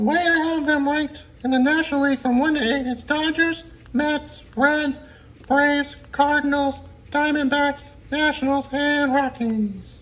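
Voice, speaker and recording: A cartoonish character voice pitched high, moving at a moderate pace. Light background noise sits under it. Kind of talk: sports talk show banter. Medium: puppet.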